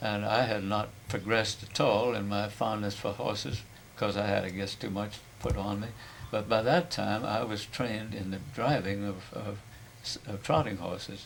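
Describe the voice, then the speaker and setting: In a space with audible room echo, a man speaks fairly low at a moderate pace with fairly even intonation. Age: 90s. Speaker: family elder. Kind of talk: oral history interview.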